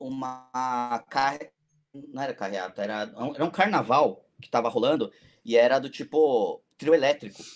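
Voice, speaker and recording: In an ordinary speaking voice at medium pitch, a man talks at a moderate pace with lively intonation and big swings in loudness. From São Paulo city, Brazil. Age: 40s. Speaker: FPV drone pilot and cinematographer. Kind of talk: casual chat.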